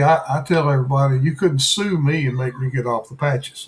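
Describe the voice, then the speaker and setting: Music plays in the background as a man talks. His pace is moderate and his pitch varies in an ordinary way. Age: 70s. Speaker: channel host interviewing. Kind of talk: casual testimony chat.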